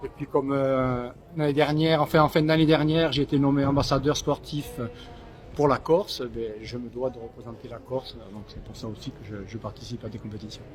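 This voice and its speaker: Big swings in loudness, ordinary pitch variation and a fairly quick pace over noticeable background noise. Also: man, fairly high pitch for a man. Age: 60s. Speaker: long-distance fin swimmer, charity founder. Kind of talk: post-race interview. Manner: halting, repeats words.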